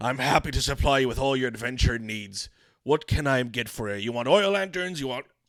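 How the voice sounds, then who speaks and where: Using a put-on character voice, a man talks at a fairly quick pace with medium pitch, lively intonation and a strained, hoarse sound, on a very clean recording with a silent background. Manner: strained, hoarse, salesy.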